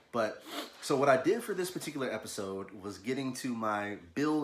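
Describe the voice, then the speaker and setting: A man speaks at a moderate pace and medium pitch, with audible room echo around him. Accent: American. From US South, Louisville, Kentucky. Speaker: artist, illustrator. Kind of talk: casual video talk, art tutorial intro. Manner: casual, halting with fillers and repeats.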